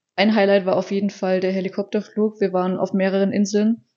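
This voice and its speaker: Very fast and monotone, a woman speaks at a medium pitch with flat intonation. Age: 20s. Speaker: podcast co-host, office clerk. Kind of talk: casual chat.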